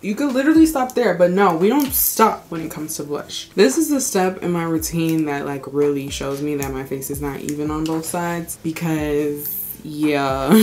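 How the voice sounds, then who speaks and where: Amid noticeable background noise, a woman with a fairly low pitch talks at a moderate pace with hardly any pauses, lively intonation and big swings in loudness. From Texas, Houston. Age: 20s. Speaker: beauty youtuber. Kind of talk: makeup tutorial. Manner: casual, chatty.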